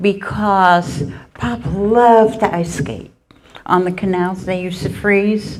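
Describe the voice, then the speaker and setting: The speech is fairly slow with lively intonation. Audible room echo surrounds it. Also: woman. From Netherlands. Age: 80s+. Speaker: Holocaust survivor speaker. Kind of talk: talk to students with Q&A. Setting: school presentation, live-streamed.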